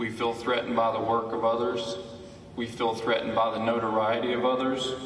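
Audible room echo and light background noise around a man speaking at a moderate speed. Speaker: activist; speaker. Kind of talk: eulogy; public speech. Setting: stage with audience. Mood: earnest, reflective. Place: hall. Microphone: podium.

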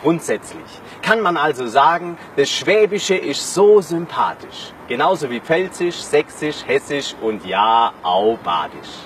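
The speaker takes a very slow pace in a playful tone, with very wide pitch swings and noticeable background noise. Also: man. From Swabia, southern Germany. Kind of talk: rhyming spoken-word dialect poem. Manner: rhythmic, playful.

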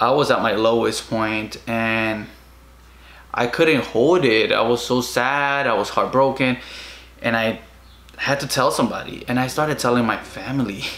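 A man speaks at a moderate pace with a Spanish accent and fairly even intonation. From Guatemala. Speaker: vlogger. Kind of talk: casual personal vlog monologue. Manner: halting, many fillers. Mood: emotional, reflective. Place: home room. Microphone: camera far.

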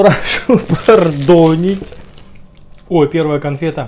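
A man's voice over light background noise. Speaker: food vlogger. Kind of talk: casual vlog chat. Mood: playful, joking. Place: kitchen. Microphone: phone near.

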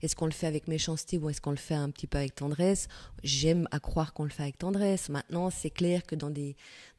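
A woman's dark, mellow voice with a slight Fribourg accent, very fast, on a very clean recording with a silent background. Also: fairly even intonation. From Switzerland, canton of Fribourg (Gruyère). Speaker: novelist. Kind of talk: interview. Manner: hesitant, many repetitions.

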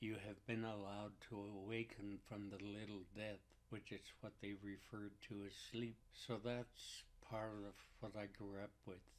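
In a monotone, flat intonation, a man's voice holds a fairly low pitch. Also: fairly slow pace. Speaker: Native elder and teacher. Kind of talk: elder life story, reflective storytelling. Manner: unhurried, reflective.

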